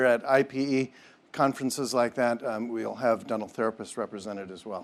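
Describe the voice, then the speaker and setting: Speaking at a fairly quick pace with a Minnesotan accent, a man keeps a medium pitch and fairly even intonation. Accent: Minnesota. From Minnesota, US Midwest. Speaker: dental health system leader. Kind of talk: conference presentation. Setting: conference hall with audience. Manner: halting, many fillers and repetitions.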